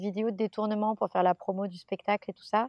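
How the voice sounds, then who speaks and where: The speaker is a woman. Her pitch is in the medium range. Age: 30s. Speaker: actress. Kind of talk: casual chat. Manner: halting.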